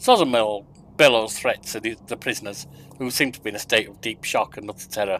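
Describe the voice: Simple, plain reading aloud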